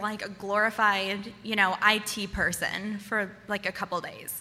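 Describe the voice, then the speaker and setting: A woman speaks at a fairly high pitch. Noticeable background noise is present. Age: 20s. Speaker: storyteller. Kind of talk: stand-up. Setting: stage with audience. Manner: animated.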